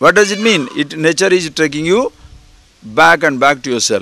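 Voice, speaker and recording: Here a man speaks with an Indian accent at a moderate pace. His intonation is lively. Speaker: spiritual teacher. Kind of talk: spiritual discourse. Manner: conversational.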